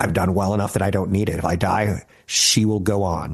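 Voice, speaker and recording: Speaking at a moderate pace, a man has a fairly low pitch. His voice is somewhat breathy. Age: 50s. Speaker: financial radio host. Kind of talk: casual talk show monologue. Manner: animated.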